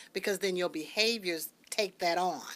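A woman's fairly low voice, bright and sharp in tone, with ordinary pitch variation. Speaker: radio show co-host. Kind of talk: radio talk show conversation. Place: studio. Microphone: studio mic.

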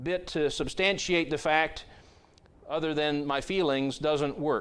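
The man's speech unfolds at a fairly slow pace. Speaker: pastor. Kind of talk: sermon. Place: church.

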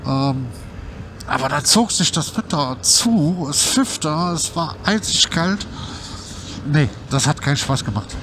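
Through noticeable background noise, a man with a fairly high pitch speaks at a very slow pace. His intonation is lively, and he leaves long, frequent pauses. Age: 50s. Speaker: YouTuber, scooter rider. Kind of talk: casual vlog monologue. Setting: on a scooter ride outdoors. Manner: hesitant, many fillers.

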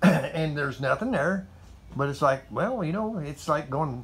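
A man's somewhat breathy voice at a moderate pace, with ordinary pitch variation and light background noise. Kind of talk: casual vlog chat. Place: garage. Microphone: phone near.

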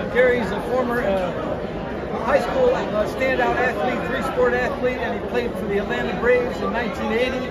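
A man at a moderate pace with hardly any pauses, crowd noise behind him. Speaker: writer interviewing an inductee. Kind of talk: interview intro and questions. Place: hall. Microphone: phone near.

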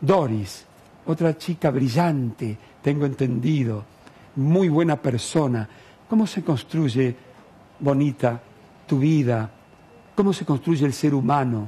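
Somewhat breathy and dark, mellow in tone, a man speaks at a very slow pace with ordinary pitch variation and long, frequent pauses. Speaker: TV host. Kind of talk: TV interview show. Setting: studio. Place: studio. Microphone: headset.

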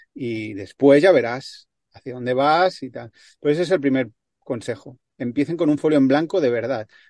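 The loudness swings widely while pitch varies in an ordinary way, at a moderate pace. It's an unremarkable speaking voice against a quiet background. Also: man, fairly high pitch for a man. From Barcelona, Spain. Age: 40s. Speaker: traveling cyclist and filmmaker. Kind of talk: casual interview.

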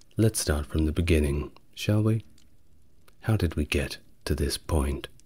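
Very deep, low male pitch, dark and mellow in tone and somewhat breathy, at a fairly slow pace over a quiet background. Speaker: history narrator. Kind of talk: soft-spoken history lecture.

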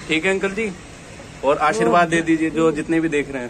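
A man with a fairly high pitch and fairly even intonation is heard over noticeable background noise. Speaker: YouTube vlogger. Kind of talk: casual talk to camera. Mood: warm, admiring. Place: street. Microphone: phone near.

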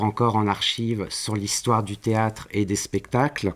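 A man speaks at a moderate pace with a fairly low pitch. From Paris, France. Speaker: university lecturer in theatre studies. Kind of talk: interview. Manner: hesitant, many fillers. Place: classroom.

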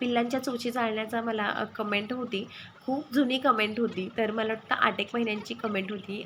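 Over noticeable background noise, a woman holds a fairly high pitch in a monotone, flat intonation. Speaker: vlogger and poultry farmer. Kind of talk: casual vlog narration.

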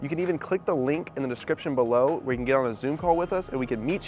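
A man rattles along at a very fast rate, his pitch varying normally, in a dry, echo-free sound with a little noise underneath. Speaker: real estate agent host. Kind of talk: casual vlog chat. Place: street. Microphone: lapel.

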